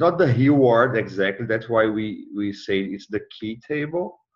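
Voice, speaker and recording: Here a man speaks with a non-native accent. His pace is very slow. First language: not English. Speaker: mentor. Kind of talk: tutoring session. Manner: halting.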